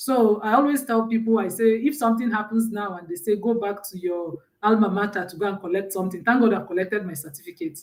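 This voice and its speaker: Speaking very fast with hardly any pauses, a woman with a Nigerian accent keeps a medium pitch while her loudness swings widely. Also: ordinary pitch variation. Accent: Nigerian accent, held on to. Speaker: mentor and personal branding speaker. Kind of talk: live stream talk. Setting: live stream.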